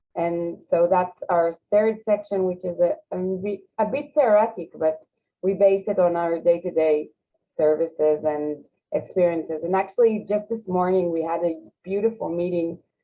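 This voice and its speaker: A woman with an Israeli accent speaks at a moderate pace in a medium pitch, with ordinary pitch variation. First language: Hebrew. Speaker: social program representative. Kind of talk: panel discussion. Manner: halting.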